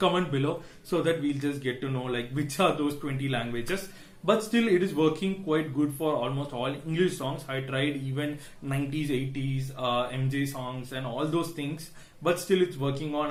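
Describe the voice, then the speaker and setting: Amid noticeable background noise and audible room echo, a man speaks with an Indian accent. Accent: Indian English (Tamil). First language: Tamil. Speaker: tech YouTuber. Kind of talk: tech review vlog. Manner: hesitant, many fillers.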